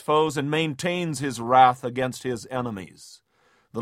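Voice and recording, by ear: Text is read aloud in a natural voice with ordinary pitch variation. It's quiet in the background.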